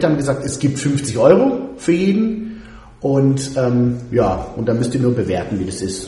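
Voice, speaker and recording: Over noticeable background noise and audible room echo, a man speaks at a fairly high pitch with very wide pitch swings. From Würzburg, raised in the US ages 5 to 14. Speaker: radio host. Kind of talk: casual chat.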